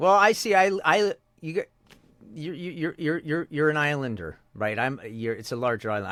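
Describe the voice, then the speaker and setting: With a silent background, this very clean recording features a man. His moderate-speed speech swings very widely in pitch. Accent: American. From Canada. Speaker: voice actor. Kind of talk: interview. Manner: halting, many repetitions and fillers.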